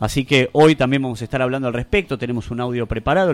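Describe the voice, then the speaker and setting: A man speaks at a very fast pace with a Rioplatense accent. His pitch sits in the medium range. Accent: Argentine Rioplatense Spanish. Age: 30s. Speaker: radio host. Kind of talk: live radio show chat. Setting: radio studio.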